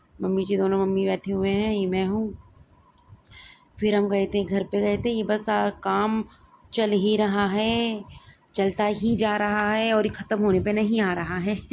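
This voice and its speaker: A woman is speaking here, her pitch in the medium range. Her delivery stays monotone and flat in intonation. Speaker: family vlogger. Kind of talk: vlog narration. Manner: casual, conversational.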